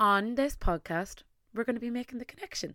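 A woman with an Irish accent talks at a fairly high pitch with lively intonation. The recording is very clean, the background silent. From Ireland, Tipperary. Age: 20s. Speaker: podcast host and content creator. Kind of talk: solo podcast monologue. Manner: animated.

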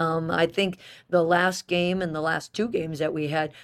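A woman with a plain, everyday voice, a fairly low pitch and a moderate pace, in a very clean recording with a silent background. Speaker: women's basketball head coach. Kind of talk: interview.

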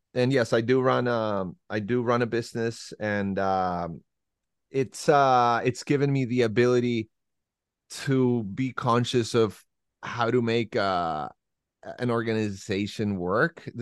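A man with a Spanish accent at a fairly slow pace, his pitch varying in an ordinary way. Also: medium pitch for a man, quiet background. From Santiago, Chile. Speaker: rock bassist. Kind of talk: interview.

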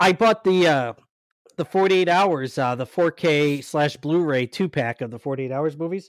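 Recorded very cleanly against a silent background, a man speaks in a normal speaking voice at fairly high pitch and moderate pace, with ordinary pitch variation and a dry, close sound without echo. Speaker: podcast co-host. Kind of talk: casual chat. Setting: livestream with live chat.

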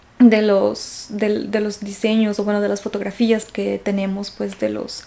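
There is noticeable background noise in this clip. Her voice sits at a medium pitch for a woman. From Ecuador. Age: 20s. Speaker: podcast host. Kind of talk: casual monologue. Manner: hesitant, many fillers.

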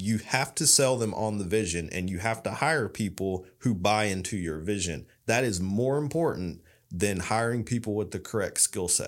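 A man speaks at a moderate pace with hardly any pauses, his pitch fairly low and ordinary in its variation. The recording is very clean, with a silent background. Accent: East Tennessee. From East Tennessee. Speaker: business owner. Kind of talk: interview.

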